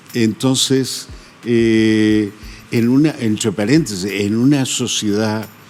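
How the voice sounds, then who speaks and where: A man's medium-pitched voice, very slow and fairly even in intonation, against noticeable background noise. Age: 80s+. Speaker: photographer. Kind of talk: interview. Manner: hesitant.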